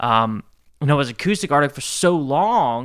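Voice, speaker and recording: In a very clean recording with a silent background, a man with an American accent and a plain, everyday voice speaks at a moderate pace, his fairly high pitch carried by lively intonation. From rural US, grew up on a farm. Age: 20s. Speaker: musician. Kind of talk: casual chat.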